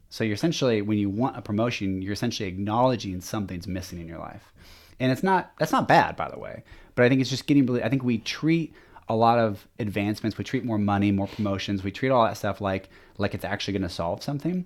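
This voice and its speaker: Speaking at a very fast pace, a man has a Pacific Northwest accent. His fairly low voice shows ordinary pitch variation. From US Pacific Northwest (Washington). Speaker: sales manager. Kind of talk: casual interview. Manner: animated; halting.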